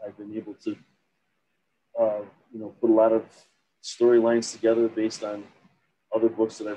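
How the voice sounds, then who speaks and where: A man with an American accent speaks at a fairly low pitch in a dark, mellow tone, with light background noise behind him. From US Midwest. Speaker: novelist and accountant. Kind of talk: interview. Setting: video call. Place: home room. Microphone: webcam.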